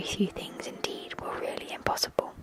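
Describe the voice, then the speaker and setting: Someone whispers over noticeable background noise. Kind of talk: whispered ASMR story reading. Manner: whispered.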